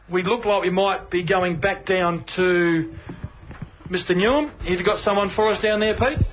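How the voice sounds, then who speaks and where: Over noticeable background noise, a man with a high pitch talks in an animated tone, with ordinary pitch variation and very even loudness. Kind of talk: sports commentary. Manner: animated, rapid-fire play-by-play.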